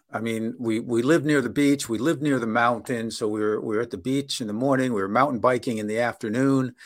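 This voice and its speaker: A plain, everyday voice goes at a fairly quick pace with ordinary pitch variation in a very clean recording with a silent background. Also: man. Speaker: business consultant and language school founder. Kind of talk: casual interview.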